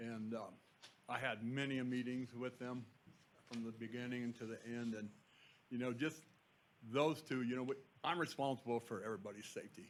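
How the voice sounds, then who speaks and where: A man speaks at a fairly quick pace but with long, frequent pauses, his medium-pitched voice keeping a fairly even intonation. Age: 60s. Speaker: construction contractor superintendent. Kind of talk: public comment at board meeting. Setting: public board meeting. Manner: halting, many fillers.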